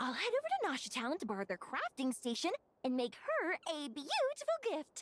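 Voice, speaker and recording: A woman uses a high-pitched, put-on character voice at a moderate pace. The sound is dry and close with no echo, and the loudness stays very even. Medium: video game. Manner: bright, upbeat, enthusiastic.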